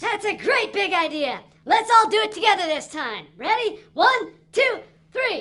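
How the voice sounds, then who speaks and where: A cartoonish character voice at an extremely high pitch. It moves at a moderate pace. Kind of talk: children's puppet show.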